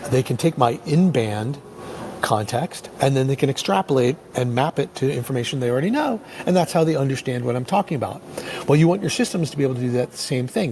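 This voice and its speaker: A man rattles off words at a very fast pace in a medium-pitched voice, with noticeable background noise present. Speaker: tech company presenter. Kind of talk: webinar presentation. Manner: halting, many fillers.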